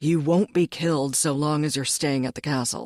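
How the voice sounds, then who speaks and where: A man's put-on character voice at a fairly high pitch and a moderate pace, on a very clean recording with a silent background. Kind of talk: audiobook dialogue. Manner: curt, gruff.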